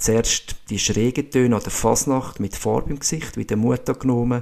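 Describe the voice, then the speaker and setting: A man with a Swiss accent talks at a fairly slow pace, his medium-pitched voice carrying a dark, mellow tone. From Switzerland, canton Schwyz. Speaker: podcast host, physiotherapist and former ski racer. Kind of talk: scripted monologue.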